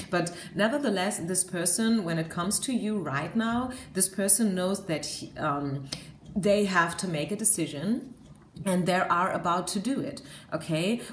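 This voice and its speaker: With a German accent, a woman talks at a medium pitch and a moderate pace, using ordinary pitch variation. Audible room echo surrounds her voice. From Germany. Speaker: tarot card reader. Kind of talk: tarot reading monologue. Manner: hesitant, many fillers.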